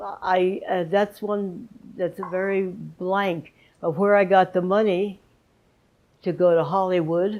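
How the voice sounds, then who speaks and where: A woman with an American accent speaks at a very slow pace. Her tone is dark and mellow. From Southern California. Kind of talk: interview answer. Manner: casual, reminiscing.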